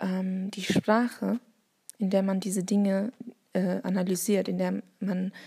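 At a very slow pace, the voice comes across somewhat breathy with a dark, mellow tone and monotone, flat intonation, in a dry, close sound with no echo. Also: woman. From Bavaria, Germany. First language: Turkish (speaking German). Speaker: teacher and podcaster. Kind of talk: solo monologue. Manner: hesitant, many fillers.

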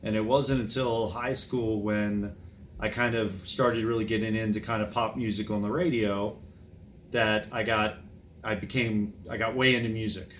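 Speaking in an American accent at a moderate pace, a man uses fairly even intonation at a medium pitch, with audible room echo. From Maryland, DC suburbs. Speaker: music fan and archivist. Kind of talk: casual chat.

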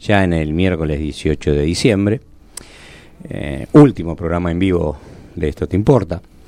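A man is speaking here. His pace is moderate. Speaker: radio host and engineer. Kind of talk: radio talk show. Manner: solemn.

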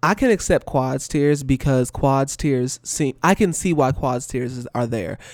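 The speech moves at a fairly slow pace with hardly any pauses. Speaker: podcast co-host. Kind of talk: casual chat.

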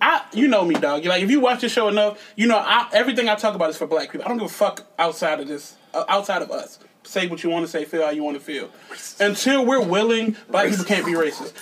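Against noticeable background noise, a man talks at high pitch with lively intonation. His pace is very fast, with hardly any pauses. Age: 30s. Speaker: comedian. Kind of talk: casual chat.

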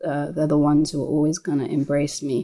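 A woman with a London accent speaks at a fairly quick pace in a very deep, low pitch, with a dark, mellow tone and monotone, flat intonation. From South London (Lewisham). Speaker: musician. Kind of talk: casual chat.

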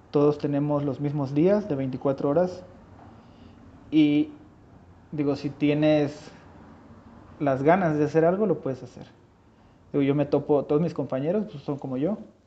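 Pausing long and often, a man speaks at a fairly high pitch with fairly even intonation. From Mexico, Huasteca region of San Luis Potosí. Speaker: industrial designer and leather goods maker. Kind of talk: casual interview.

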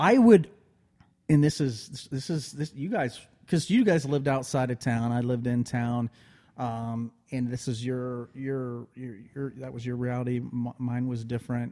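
This man has an American accent and a medium pitch with a dark, mellow tone. He talks at a moderate pace with fairly even intonation. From Ohio (Prospect). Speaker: baseball enthusiast, childhood friend of host. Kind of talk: casual chat.

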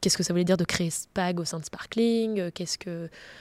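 A woman at a moderate pace and fairly low pitch, fairly even intonation, a plain, everyday voice, in a very clean recording with a silent background. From France, south then Picardy (Senlis). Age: 30s. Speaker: entrepreneur. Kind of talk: interview.

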